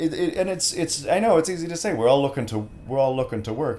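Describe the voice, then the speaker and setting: Somewhat breathy, a man with an American accent talks with very wide pitch swings. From United States. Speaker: voice actor. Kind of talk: casual chat. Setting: studio. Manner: halting.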